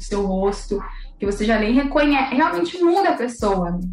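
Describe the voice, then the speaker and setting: A woman at a fairly high pitch and a moderate pace, with audible room echo and noticeable background noise. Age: 20s. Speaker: beauty pageant queen and systems analyst. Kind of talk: casual interview.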